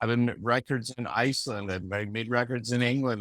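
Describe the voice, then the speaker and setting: Heard in a dry, close sound with no echo, a man with a normal speaking voice talks at a moderate pace and a medium pitch. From Canada, Vancouver. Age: 60s. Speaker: music producer and engineer. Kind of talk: casual interview. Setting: video call. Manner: loose, filler-heavy speech.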